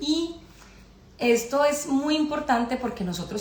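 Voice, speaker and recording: Noticeable background noise and audible room echo surround the recording. A woman speaks at a fairly slow pace in a Colombian accent. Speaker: spiritual astrology speaker. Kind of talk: live-stream talk. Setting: live stream.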